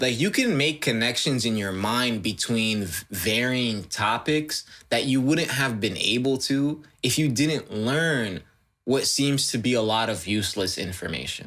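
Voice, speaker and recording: A man with an American accent talks at a medium pitch and a moderate pace, with a bright, sharp tone. His intonation is lively, and the recording is very clean with a silent background. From United States. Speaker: podcast co-host. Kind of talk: casual chat.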